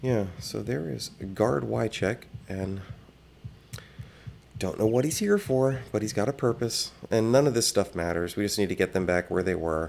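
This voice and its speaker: A soft-spoken man talks at a moderate pace in a fairly low pitch. His intonation is lively, broken by long, frequent pauses. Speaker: gaming video creator. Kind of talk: game tour commentary. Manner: halting.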